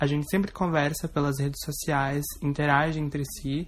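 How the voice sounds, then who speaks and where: The recording is very clean and the background silent. A woman's words come at a moderate pace. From southern Brazil, Igrejinha (Rio Grande do Sul). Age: 20s. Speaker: performer and singer. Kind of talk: recorded testimony.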